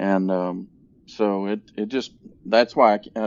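This is an unremarkable speaking voice from a man with an American accent. His pitch sits fairly low and his intonation stays fairly even. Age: 50s. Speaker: healthcare facilities executive. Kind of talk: interview.

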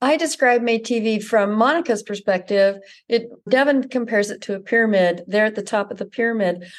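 Against a quiet background, a woman with an American accent talks at a fairly quick pace in an ordinary speaking voice, fairly high-pitched, with ordinary pitch variation. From Utah (Ogden). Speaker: magazine editor. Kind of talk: casual interview.

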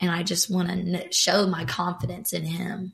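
A woman with vocal fry and monotone, flat intonation. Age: 20s. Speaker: church creative worker, guest. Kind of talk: casual faith conversation.

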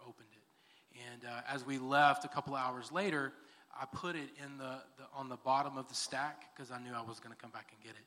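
This man has a fairly high-pitched voice. He speaks in a Texan accent. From Texas, Texas City area. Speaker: church elder and school district worker. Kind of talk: interview testimony in church service.

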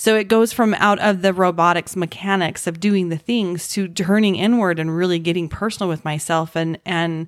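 An unremarkable speaking voice from a woman, fairly low in pitch, fairly quick and fairly even in intonation, on a very clean recording with a silent background. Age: 40s. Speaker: podcast host. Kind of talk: casual interview chat.

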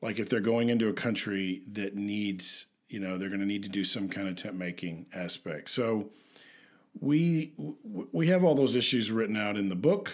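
With an American accent, a man speaks in a plain, everyday voice at a moderate pace, fairly low in pitch with ordinary pitch variation, on a very clean recording with a silent background. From US South, Memphis, Tennessee. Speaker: podcast co-host, missions counselor. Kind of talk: casual chat. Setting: home office.

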